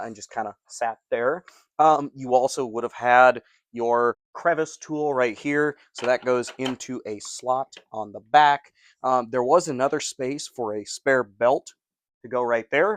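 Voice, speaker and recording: Speaking fairly slowly in an unremarkable speaking voice, a man at medium pitch shows ordinary pitch variation and big swings in loudness, recorded dry and close with no echo against a quiet background. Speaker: vacuum cleaner collector and reviewer. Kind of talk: casual talk to camera.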